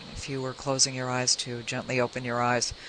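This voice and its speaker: Over noticeable background noise, a woman is speaking. Her pace is fairly quick. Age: 60s. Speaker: radio host and minister. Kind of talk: radio interview; guided meditation.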